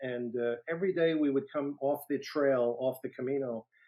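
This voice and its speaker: A man's medium-pitched voice with a New York accent, moderate pace and fairly even intonation. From New York City (Brooklyn). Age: 60s. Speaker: retired federal agent and author. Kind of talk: interview storytelling. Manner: halting with many fillers.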